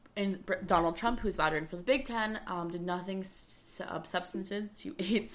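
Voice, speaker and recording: A woman speaks in a raspy, put-on character voice at medium pitch and a moderate pace. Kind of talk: sports news commentary. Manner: stuttering, stumbling over words.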